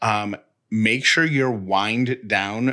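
A man with an American accent, a bright, sharp tone and ordinary pitch variation, on a very clean recording with a silent background. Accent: slight Syracuse accent, noted by a listener. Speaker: podcast co-host. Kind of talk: casual chat.

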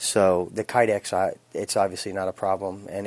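Speaking at a moderate pace with an American accent, a man comes through with a dry, close sound and no echo. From Phoenix, Arizona. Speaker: knife reviewer. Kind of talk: recorded product review. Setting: sent-in recording.

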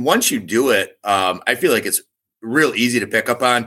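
A man with an Upper Midwest accent talks at a moderate pace and medium pitch. His tone is bright and sharp, his intonation lively. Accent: Upper Midwest American. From Michigan. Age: 40s. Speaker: competitive archer and bowhunter. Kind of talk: casual interview.

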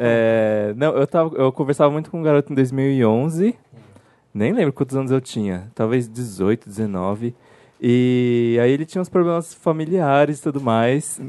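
This man has a dark, mellow tone and a medium pitch with ordinary variation. He speaks at a fairly slow pace, and the sound is dry and close with no echo. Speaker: production team member. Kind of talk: storytelling. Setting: stage with audience.

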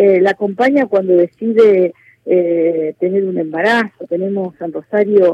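A woman talks in an ordinary speaking voice at a medium pitch. Her pace is fairly slow, with ordinary pitch variation. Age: 60s. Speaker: politician, former mayor. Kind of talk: radio interview.

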